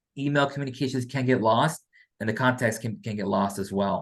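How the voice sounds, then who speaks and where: A man talking at a fairly quick pace, with ordinary pitch variation. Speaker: financial aid staff member. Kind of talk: info session presentation. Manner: fast; halting, many fillers and repeats.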